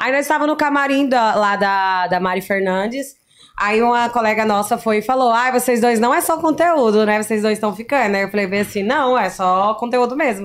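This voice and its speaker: A woman with a fairly high voice speaks at a moderate pace with hardly any pauses, very even loudness and ordinary pitch variation. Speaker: influencer, former reality show contestant. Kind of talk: casual chat. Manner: spontaneous.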